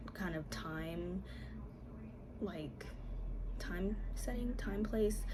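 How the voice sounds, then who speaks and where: A woman whispers at a fairly slow pace, with music in the background and audible room echo. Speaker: book video creator. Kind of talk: casual vlog talk. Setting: at home. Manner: whispering; hesitant with fillers.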